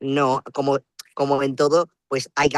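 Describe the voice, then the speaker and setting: The man speaks at a very slow pace in a medium pitch. The sound is dry and close, with no echo. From Spain, La Rioja (Logroño). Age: 20s. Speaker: student. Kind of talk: interview.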